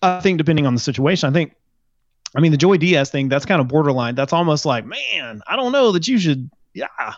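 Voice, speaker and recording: Against a quiet background, a man with an American accent speaks in an ordinary speaking voice at a fairly quick pace, with lively intonation and fairly high pitch. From small US town. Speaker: novelist and podcaster. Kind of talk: casual chat.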